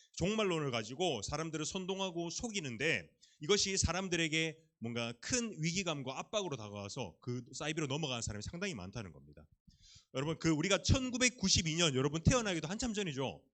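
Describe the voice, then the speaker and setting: A man talks fairly quickly. His pitch rises and falls across a very wide range. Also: fairly high pitch for a man. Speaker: youth pastor. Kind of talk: sermon. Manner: fast.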